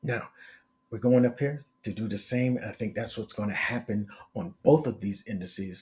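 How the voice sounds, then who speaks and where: A man speaks at a moderate pace in a medium pitch, his voice somewhat breathy and his pitch varying in an ordinary way. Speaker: market analyst. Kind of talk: tutorial. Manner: casual with many fillers.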